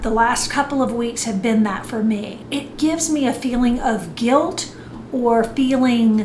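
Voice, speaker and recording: Through audible room echo and noticeable background noise, a woman speaks at a fairly slow pace with a high pitch and fairly even intonation. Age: 60s. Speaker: fitness and lifestyle vlogger. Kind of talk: motivational talk. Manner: conversational.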